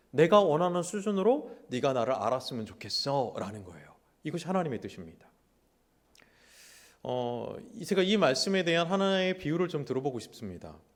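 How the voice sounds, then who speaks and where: A man's fairly high voice at a moderate pace, with very wide pitch swings and audible room echo. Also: big swings in loudness. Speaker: pastor. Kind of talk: sermon. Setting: church. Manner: animated.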